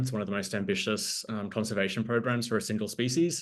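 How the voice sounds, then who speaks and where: A man talks with an Australian accent. The background is quiet. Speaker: board candidate, nonprofit communications director. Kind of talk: candidate introduction on a video call. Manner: many filler ums.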